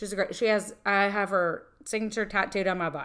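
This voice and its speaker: Here is a normal speaking voice, going at a fairly quick pace. Behind it is a very clean recording with a silent background. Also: woman. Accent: American. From northern US. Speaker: podcast co-host and entrepreneur. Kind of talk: casual chat.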